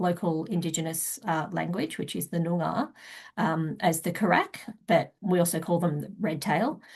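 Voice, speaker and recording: In an Australian accent, a woman speaks at a moderate pace with a fairly low, somewhat breathy voice against a quiet background. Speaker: wildlife researcher. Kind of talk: conference presentation. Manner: hesitant with frequent fillers.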